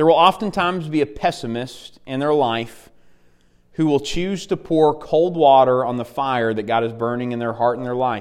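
A man with an Arkansas accent and ordinary pitch variation. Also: medium pitch for a man, moderate pace, very clean recording, silent background. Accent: US Southern (Arkansas). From Arkansas (Dardanelle). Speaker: campus minister preaching as guest. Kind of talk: sermon. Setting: church.

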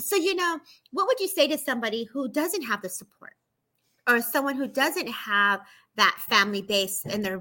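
A woman with an American accent talks in a bright, sharp tone, her pitch swinging very widely. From California. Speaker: live show host. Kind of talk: casual livestream chat interview. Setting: live online stream.

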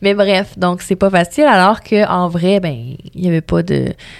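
A woman speaks in a Quebec accent. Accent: Québécois French. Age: 20s. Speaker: radio host. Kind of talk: interview conversation.

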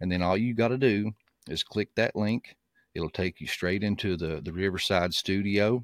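A man with an unremarkable speaking voice talks at a moderate pace and fairly low pitch, with ordinary pitch variation. The recording is very clean and dry, close-sounding with no echo and a silent background. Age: 30s. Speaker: podcast host. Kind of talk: casual update monologue. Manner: casual with frequent fillers.

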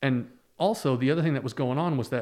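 A man speaks with a Midwestern American accent. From US Midwest, Ohio. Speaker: traveler and motorcycle vlogger. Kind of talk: interview.

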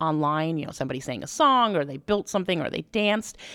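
A woman talks with lively intonation on a very clean recording with a silent background. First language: not English. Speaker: wedding planner. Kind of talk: casual chat.

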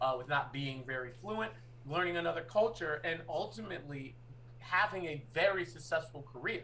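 The speaker has an ordinary speaking voice with an American accent. Delivery is at a moderate pace with lively intonation. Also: man, fairly high pitch for a man. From US Northeast. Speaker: podcast co-host. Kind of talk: casual chat.

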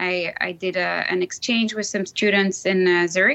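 A woman with a French accent talks at a moderate pace, her medium-pitched voice bright and sharp in tone. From Switzerland, Lausanne; grew up in Brazil. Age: 40s. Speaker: alumna, professional services employee. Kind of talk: casual interview, conversational. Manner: hesitant with frequent fillers.

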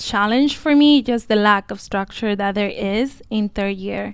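A woman speaks at a moderate pace in a normal speaking voice. The recording is very clean, with a silent background. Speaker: medical student. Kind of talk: casual panel interview.

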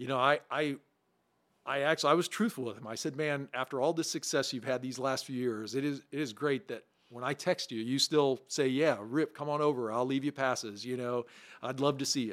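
This man has an unremarkable speaking voice with an American accent and a medium pitch. He talks at a fairly quick pace with fairly even intonation. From southern Illinois, small farm town. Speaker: former baseball player and mixologist. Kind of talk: casual chat.

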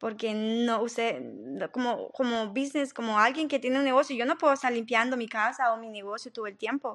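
Fairly quick in pace, a woman talks with a fairly high pitch and fairly even intonation. It is an unremarkable speaking voice, set against a quiet background. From Honduras, Tegucigalpa. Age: 20s. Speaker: cleaning business owner. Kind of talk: interview.

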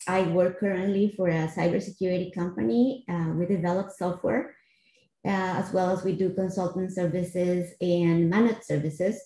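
Speaking in a Costa Rican accent, a woman with a medium pitch and a dark, mellow, somewhat breathy tone talks at a moderate pace with ordinary pitch variation. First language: Spanish. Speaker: finance executive in cybersecurity. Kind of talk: interview.

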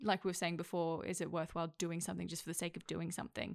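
Recorded very cleanly against a silent background, a woman with an Australian accent speaks at a fairly low pitch. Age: 20s. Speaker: actor and accent coach. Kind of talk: casual chat.

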